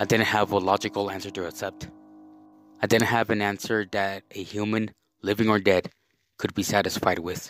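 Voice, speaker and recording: Over music in the background, a man with a fairly low pitch speaks at a moderate pace in a monotone, flat delivery, the sound dry and close with no echo. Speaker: story reader. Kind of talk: horror story reading.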